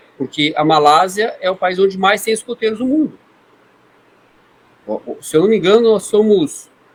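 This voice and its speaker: The speech has lively intonation broken by long, frequent pauses. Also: man, high pitch for a man, moderate pace. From Brazil, Foz do Iguaçu (Paraná). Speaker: scouting leader. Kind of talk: podcast interview.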